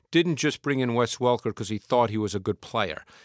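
A man with a normal speaking voice talks at a medium pitch with lively intonation. The sound is dry and close with no echo, on a very clean recording with a silent background. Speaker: football analyst. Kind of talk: casual chat. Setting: studio.

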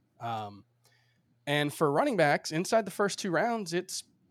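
With an American accent and a normal speaking voice, a man talks at a fairly quick pace with lively intonation, the sound dry and close with no echo in a very clean recording against a silent background. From Miami, Florida. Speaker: fantasy sports analyst. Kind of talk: casual chat.

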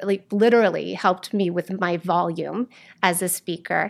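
Here is an unremarkable speaking voice from a woman at medium pitch with ordinary pitch variation. The recording is very clean, the background silent. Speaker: theater teacher. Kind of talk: casual interview chat.

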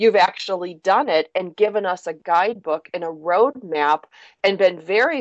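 An unremarkable speaking voice from a woman, fairly low-pitched, with ordinary pitch variation. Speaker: radio talk show host. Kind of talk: interview.

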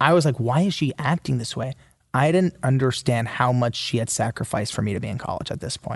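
Against a quiet background with a dry, close sound with no echo, a man in a plain, everyday voice speaks at a fairly high pitch and a fairly quick pace with lively intonation. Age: 20s. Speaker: author. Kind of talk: interview.

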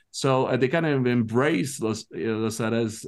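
A man with a Quebec accent speaks at a fairly slow pace with ordinary pitch variation against a quiet background. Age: 40s. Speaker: soccer commentator. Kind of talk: casual chat. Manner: halting.

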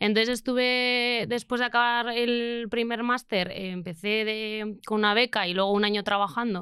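A woman talks at a moderate pace with a fairly high pitch and a bright, sharp tone. Her intonation is fairly even, with hardly any pauses, on a very clean recording with a silent background. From Spain, Basque Country (Bilbao). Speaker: renewable energy engineer. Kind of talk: casual interview.

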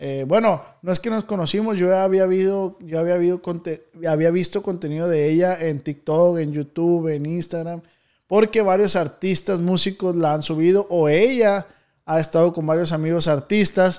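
With a northwestern Mexican accent, a man talks at a moderate pace in a high pitch and fairly even intonation, on a very clean recording with a silent background. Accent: northwestern Mexican Spanish (Sinaloa). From Mexico, Culiacán, Sinaloa. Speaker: podcast host. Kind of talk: casual chat. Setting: studio.

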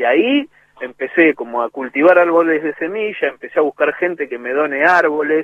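With an Argentine accent, a man speaks at a fairly high pitch. His pace is fairly quick and his pitch varies ordinarily. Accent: Rioplatense Argentine Spanish. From Argentina, Greater Buenos Aires (Lanús, Monte Grande). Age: 40s. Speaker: music producer and percussionist. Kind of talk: radio interview.

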